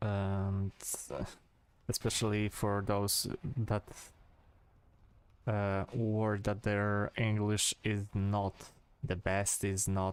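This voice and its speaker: In a very clean recording with a silent background, a man with a strong Polish accent speaks very slowly at a fairly low pitch, his loudness very even and his intonation monotone and flat, with long, frequent pauses. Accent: thick Polish accent, rolled R's. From Poland. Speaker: gaming streamer. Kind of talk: casual chat. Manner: halting, many fillers.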